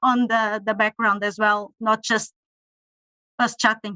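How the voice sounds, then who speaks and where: A woman with a Portuguese accent at a moderate pace, the sound dry and close with no echo. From Portugal. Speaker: campaigner. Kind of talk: online panel discussion. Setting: video call.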